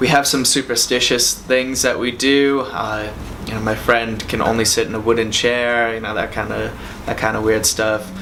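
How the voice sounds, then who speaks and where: A man at medium pitch and a moderate pace, monotone and flat, amid noticeable background noise and audible room echo. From US Northeast, Boston. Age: 30s. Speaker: rideshare driver telling a personal story. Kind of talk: testimonial interview. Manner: casual, with frequent fillers.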